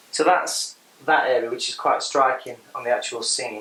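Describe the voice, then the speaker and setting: A man at a medium pitch speaks over noticeable background noise. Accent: English. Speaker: art teacher. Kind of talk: tutorial. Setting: hotel room. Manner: casual.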